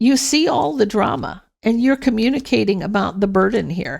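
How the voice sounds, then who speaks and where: On a very clean recording with a silent background, a woman of fairly high pitch speaks at a moderate pace with lively intonation and vocal fry. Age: 60s. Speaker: tarot reader. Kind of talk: tarot reading. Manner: casual, conversational; halting, with restarts.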